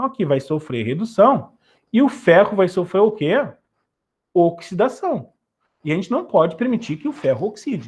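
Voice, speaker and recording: Speaking at a moderate pace, a man lets his voice move in very wide pitch swings. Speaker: chemistry teacher. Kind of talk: online lesson.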